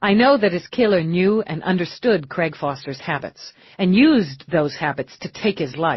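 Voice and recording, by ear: Someone reads a passage aloud in a natural voice.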